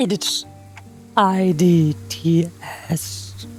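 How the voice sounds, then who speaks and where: A woman puts on a character voice, pitched fairly low and swinging very widely in pitch. Music plays clearly behind her. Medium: game stream. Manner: curt, dismissive.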